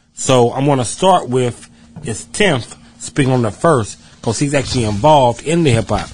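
Delivered at a moderate pace with lively intonation, this is an unremarkable speaking voice with an American accent. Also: man. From West Virginia, Bluefield. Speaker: podcast host. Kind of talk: casual chat.

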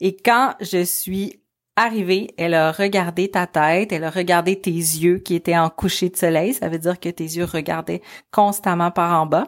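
On a very clean recording with a silent background, a woman speaks at a fairly slow pace. Her pitch is fairly low and her intonation fairly even. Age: 30s. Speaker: mother of a child with hydrocephalus. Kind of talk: personal testimony told to her son.

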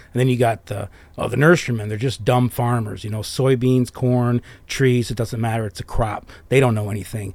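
A man with an American accent speaks at a fairly quick pace and medium pitch. It is an ordinary speaking voice on a very clean recording with a silent background. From US Midwest, southwest Detroit. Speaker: arborist, former nurseryman, business owner. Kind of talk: casual interview chat.

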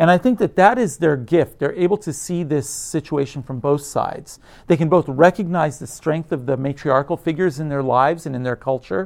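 Here is an ordinary speaking voice from a man with a fairly high pitch. He talks at a moderate pace with ordinary pitch variation. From United States. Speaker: theatre professor. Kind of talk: conversational interview.

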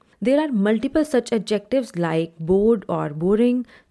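Her tone is dark and mellow, with a fairly high pitch. This woman speaks at a moderate pace with lively intonation. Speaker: English language coach. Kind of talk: lesson / tutorial.

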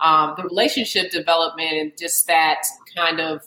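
In a plain, everyday voice, a woman with an American accent speaks at a moderate pace, fairly low in pitch, with fairly even intonation. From US, Alexandria, Virginia. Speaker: women's basketball analyst. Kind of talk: casual interview chat.

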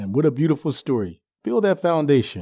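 A man speaks fairly quickly, the background quiet. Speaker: podcast host. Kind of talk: show introductions.

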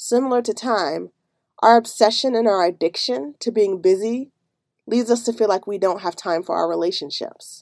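Over a very clean recording with a silent background, a woman with a normal speaking voice talks at a fairly high pitch and moderate pace with ordinary pitch variation. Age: 30s. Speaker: life coach and podcast host. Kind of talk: solo podcast monologue.

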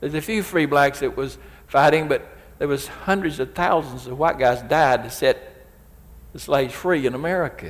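This man has a Southern US accent. He speaks at a moderate pace. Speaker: preacher. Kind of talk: sermon. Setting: church. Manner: emphatic.

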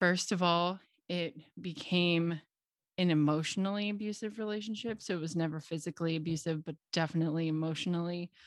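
In a Midwestern American accent, a woman talks at a fairly quick pace, her fairly low pitch showing ordinary variation over a quiet background. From US Midwest, Cincinnati, Ohio. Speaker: confidence and sales coach, podcast host. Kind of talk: solo podcast monologue.

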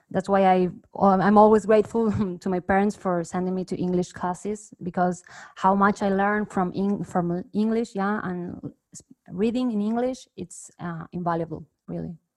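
Speaking at a moderate pace with a Spanish accent, a woman keeps a medium pitch and fairly even intonation. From Argentina, Cordoba. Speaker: music producer. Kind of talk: casual chat.

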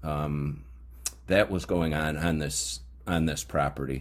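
A man talks with a very deep, low pitch. His pace is fairly slow and his intonation fairly even. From upstate New York. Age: 50s. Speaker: podcast host, metal detecting hobbyist. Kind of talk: casual monologue. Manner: halting, frequent fillers.

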